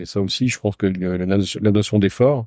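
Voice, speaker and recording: A man's fairly low, dark, mellow voice races at a very fast pace against a quiet background. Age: 60s. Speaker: entrepreneur. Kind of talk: interview. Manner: hesitant, many fillers.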